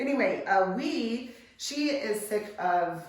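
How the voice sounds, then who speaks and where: Lively intonation marks this woman's fairly high-pitched voice. Noticeable background noise and audible room echo surround her. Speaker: hairstylist. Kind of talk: tutorial. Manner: casual, hesitant with many fillers.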